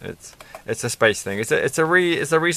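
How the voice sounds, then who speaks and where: Light background noise accompanies a man whose sound is dry with no echo. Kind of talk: casual build commentary.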